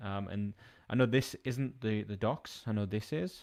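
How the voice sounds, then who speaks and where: Mumbling at a fairly low pitch with ordinary pitch variation, a man is heard on a very clean recording with a silent background. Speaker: software developer streamer. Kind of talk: live coding stream. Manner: casual, hesitant with fillers.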